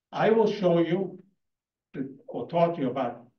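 A man talks at a fairly slow pace with a high pitch. The room echo is audible. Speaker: debater, community leader. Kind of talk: heated debate. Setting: stage with audience. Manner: animated. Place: hall. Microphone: handheld.

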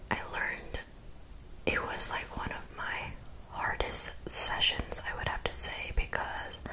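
Loud background noise runs beneath a woman speaking at a fairly slow pace. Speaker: vlogger. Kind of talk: casual vlog chat about therapy. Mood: reflective, candid. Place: home room. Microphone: studio mic.

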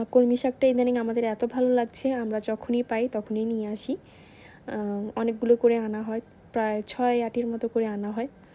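Her voice has a dark, mellow tone and a fairly high pitch, delivered with monotone, flat intonation. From Bangladesh. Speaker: cooking vlogger. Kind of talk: vlog voice-over. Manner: halting. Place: kitchen.

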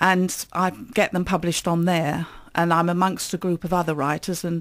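Over a quiet background, a woman speaks with a fairly low pitch. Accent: southeast English. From Kent, south-east England. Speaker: author. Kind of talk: interview. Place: studio. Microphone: studio mic.

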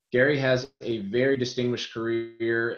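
A man talks with fairly even intonation. There is audible room echo against a quiet background. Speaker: webinar host introducing presenter. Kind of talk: webinar introduction. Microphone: webcam.

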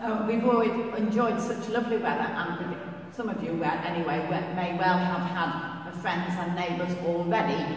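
Speech at a fairly slow pace with ordinary pitch variation rings with strong room echo. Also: woman. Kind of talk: church notices announcement. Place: church.

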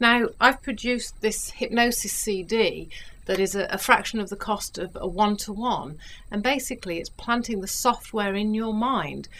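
In a very clean recording with a silent background, a woman with a warm, confident tone speaks at fairly high pitch, with ordinary pitch variation and a moderate pace. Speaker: hypnotherapist selling self-help recordings. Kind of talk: direct-to-camera sales pitch for a hypnosis CD, describing rather than performing trance. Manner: warm, reassuring, coaxing tone addressing the listener as you; chatty, persuasive, confident with occasional filler hesitations.

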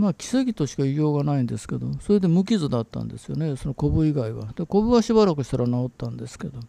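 A man's fairly high, dark, mellow voice at a very fast pace, with very wide pitch swings. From Japan, Beppu (Oita, Kyushu). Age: 60s. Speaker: lecturer. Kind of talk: solo talk, personal reminiscence. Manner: halting, with many fillers.

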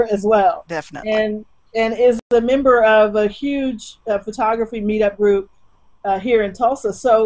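A woman's fairly even intonation comes through with a quiet background behind it. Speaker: guest. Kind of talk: interview answer. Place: home room. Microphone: webcam.

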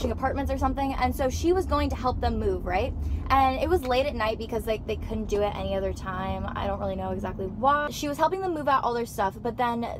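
A woman at a very fast pace with hardly any pauses, dry sound with no echo, and noticeable background noise. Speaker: vlogger. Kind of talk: casual vlog chat, storytelling. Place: car. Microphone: phone near.

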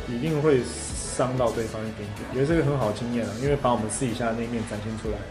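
Clear music plays in the background. A man talks at a fairly quick pace with ordinary pitch variation. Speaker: singer and actor. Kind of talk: interview answer. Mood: relaxed, lightly amused. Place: home room.

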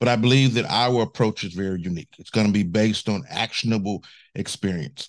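Against a quiet background, a man with a fairly low pitch speaks at a fairly quick pace, his intonation fairly even. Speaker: candidate. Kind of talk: interview answer. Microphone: studio mic.

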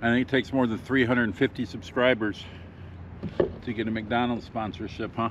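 A man with an American accent talks at a moderate pace and medium pitch, leaving long, frequent pauses, in a dry sound with no echo and noticeable background noise. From Michigan. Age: 50s. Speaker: fishing YouTuber. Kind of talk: casual outdoor vlog narration; casual vlog chat. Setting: outdoors in a kayak. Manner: animated. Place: waterside. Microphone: phone near.

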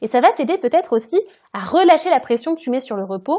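A woman speaks in a dark, mellow tone, her pitch swinging very widely. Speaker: podcast host and career change coach. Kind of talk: solo podcast monologue, casual advice. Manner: casual, conversational.

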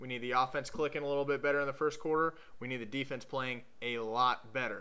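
A man speaks at a very fast pace, fairly high in pitch with ordinary pitch variation and a bright, sharp tone. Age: 20s. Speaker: sports video blogger, Ohio State fan. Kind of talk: scripted commentary monologue. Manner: sarcastic, joking. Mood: joking, sarcastic. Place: home room. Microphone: webcam.

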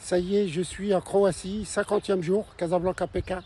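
A man talks very slowly in a high voice with a dark, mellow tone. The sound is dry with no echo, over light background noise. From Morocco. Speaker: long-distance cyclist vlogger. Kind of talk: travel vlog update. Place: open country. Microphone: phone near.

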